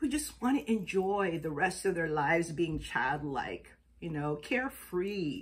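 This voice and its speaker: A woman's fairly low, somewhat breathy voice at a fairly slow pace, with very wide pitch swings. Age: 60s. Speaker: astrology and chakra vlogger. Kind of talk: casual vlog monologue. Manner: chatty, conversational.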